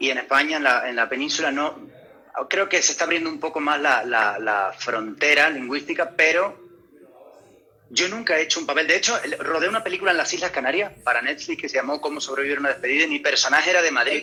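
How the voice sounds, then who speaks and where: Amid noticeable background noise, a man speaks at a very fast pace. His voice is fairly high, with ordinary pitch variation. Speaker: actor. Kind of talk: interview. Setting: video call. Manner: halting, many repetitions.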